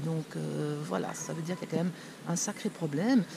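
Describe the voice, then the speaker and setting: A woman is speaking, and noticeable background noise can be heard behind her. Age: 60s. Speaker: shopkeeper. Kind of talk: interview.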